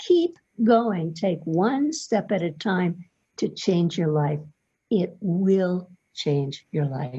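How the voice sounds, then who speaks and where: Somewhat breathy and dark, mellow in tone, a woman speaks at a very slow pace with a fairly low pitch and lively intonation. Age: 70s. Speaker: testimonial customer. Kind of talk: testimony.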